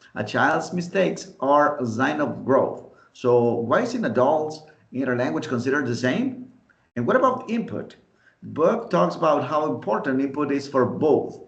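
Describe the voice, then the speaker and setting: In a room with audible echo, a man speaks at a moderate pace. His fairly high pitch swings very widely. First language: Spanish. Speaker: podcast host, English teaching student. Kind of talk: friendly scripted debate.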